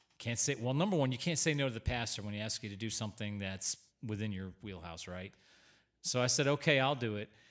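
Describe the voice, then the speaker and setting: A man at medium pitch, very fast pace and lively intonation, on a very clean recording with a silent background. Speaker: church podcast host, minister. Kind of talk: casual chat.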